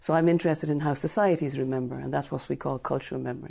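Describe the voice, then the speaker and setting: On a very clean recording with a silent background, a woman speaks with an Irish accent. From Ireland. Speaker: literature professor. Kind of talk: interview.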